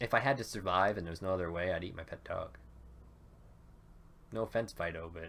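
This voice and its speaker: Very fast speech with ordinary pitch variation and long, frequent pauses. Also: man, very deep, low pitch for a man. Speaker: gaming YouTuber. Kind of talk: let's play commentary. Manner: loud; casual, hesitant fillers.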